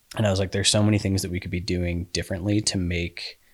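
Intonation stays fairly even, in an American accent. The background is silent and the recording very clean. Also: man. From Colorado (Colorado Springs). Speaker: endurance coach and cyclist. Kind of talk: casual chat.

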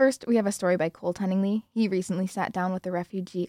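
A woman with an ordinary speaking voice talks at a fairly quick pace and medium pitch, with ordinary pitch variation, in a dry, close sound with no echo. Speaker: student radio host. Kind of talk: scripted narration.

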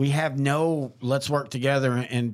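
The recording is very clean, with a silent background. A man speaks with a Texan accent at a medium pitch, with ordinary pitch variation. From Texas, small town. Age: 40s. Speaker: podcast host. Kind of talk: casual chat.

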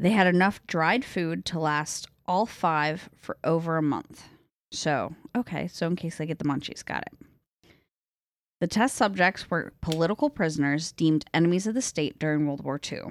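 On a very clean recording with a silent background, a woman speaks at a moderate pace in a plain, everyday voice. Her pitch is fairly low, with ordinary pitch variation. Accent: American. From upstate New York. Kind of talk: casual banter, then reading horror narration.

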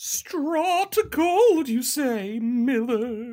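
A put-on character voice at high pitch. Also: female-sounding voice. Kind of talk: comic overacting. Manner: pompous, grandiose, unhinged.

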